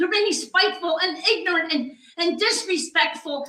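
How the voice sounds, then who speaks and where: A raised, projected voice with a bright, sharp tone, ordinary pitch variation and a fairly slow pace, in audible room echo. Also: woman. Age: 70s. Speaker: resident speaking at public comment. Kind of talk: public comment at council meeting. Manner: halting.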